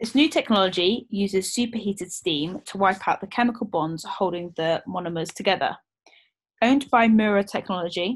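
With a British accent, a woman talks at a moderate pace in a medium-pitched, somewhat breathy voice with ordinary pitch variation. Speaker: podcast co-host, rugby player. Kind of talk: casual chat.

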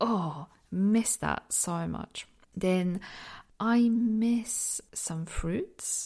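A woman with a dark, mellow, somewhat breathy voice at medium pitch speaks very slowly, with ordinary pitch variation. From southeastern Poland, near Ukrainian and Slovak borders. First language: Polish. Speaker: podcaster. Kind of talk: personal reflective monologue. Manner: laughs often.

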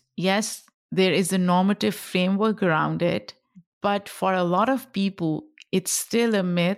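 A woman's medium-pitched voice with a Pashto accent at a fairly slow pace, in a very clean recording with a silent background. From Pakistan. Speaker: podcast host and creator. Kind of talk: casual interview chat.

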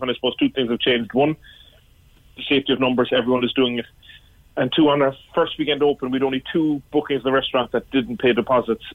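A man with a Cork accent, medium pitch, a very fast pace and fairly even intonation. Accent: Cork Irish. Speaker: pub owner. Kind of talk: radio phone-in interview. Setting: phone call. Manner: halting.

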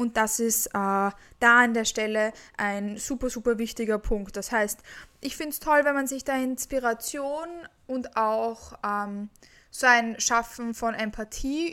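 A normal speaking voice from a woman, fairly high in pitch with ordinary pitch variation, on a very clean recording with a silent background. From Austria, Vienna. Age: 20s. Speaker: podcast host and fitness coach. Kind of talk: solo podcast monologue.

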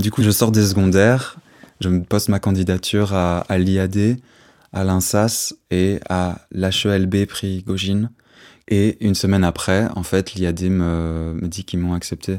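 A man speaks very slowly in a very deep, low voice with monotone, flat intonation. The recording is very clean, with a silent background. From Brussels, Belgium. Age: 20s. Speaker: drummer and musician. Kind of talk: personal testimony.

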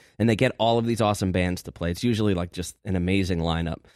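On a very clean recording with a silent background, a man with a very deep, low voice talks very fast in an American accent with ordinary pitch variation. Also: dry, close sound with no echo. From New Jersey, US. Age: 40s. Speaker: podcast host. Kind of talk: casual chat.

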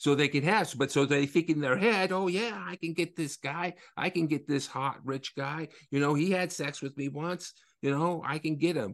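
A man speaks at a moderate pace in an ordinary speaking voice, fairly high-pitched with ordinary pitch variation, over a quiet background. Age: 50s. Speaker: author, attorney and activist. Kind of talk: casual chat.

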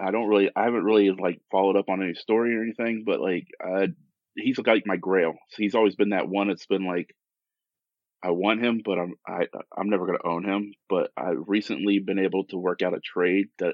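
Here is a man with a fairly low pitch and a normal speaking voice. He talks at a fairly quick pace. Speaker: diorama and torch maker.

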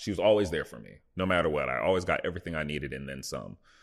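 Against a quiet background, a man with an American accent speaks in a very deep, low pitch, with vocal fry and lively intonation. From Buffalo, New York, US. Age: 20s. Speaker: professional football player. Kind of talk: casual chat.

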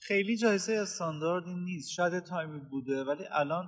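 This man has ordinary pitch variation. It is a normal speaking voice. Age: 20s. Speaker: podcast host. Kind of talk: casual chat.

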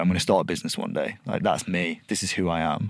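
With vocal fry and a Lancashire accent, a man speaks at a very fast pace. His pitch swings very widely. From northern England, Blackpool. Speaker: podcast host, agency founder. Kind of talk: casual interview chat. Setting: studio.

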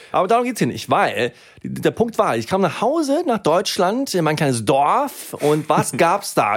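On a very clean recording with a silent background, the speaker talks fairly slowly in an animated tone. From Germany, Swedish family. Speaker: podcast co-host. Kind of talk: casual chat.

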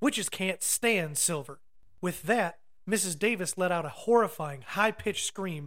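What you hear here is plain reading aloud.

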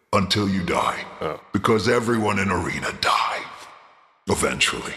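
Using a raspy, put-on character voice with a fairly low pitch, a man speaks at a moderate pace with audible echo. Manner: gleeful, theatrical, villainous, broken speech.

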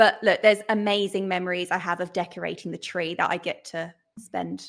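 A woman with an English accent and a medium pitch, at a moderate pace, in a very clean recording with a silent background. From England, London area. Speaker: podcast co-host, mum. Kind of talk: casual chat.

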